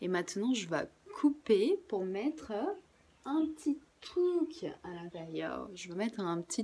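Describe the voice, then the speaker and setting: A woman's medium-pitched voice, dark and mellow, very slow, with very wide pitch swings. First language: Portuguese (speaking French). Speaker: craft workshop presenter. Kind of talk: tutorial. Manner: casual, relaxed.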